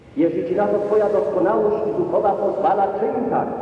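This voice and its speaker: A man speaks at a fairly quick pace and a high pitch. Strong room echo and light background noise are present. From Poland. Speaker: parish priest. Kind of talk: sermon. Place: church.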